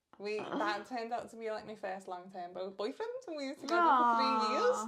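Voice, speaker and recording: With a northern English accent, a woman talks at a fairly quick pace in a fairly high pitch with lively intonation over noticeable background noise. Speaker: podcast co-host. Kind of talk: casual chat. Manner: loud; animated.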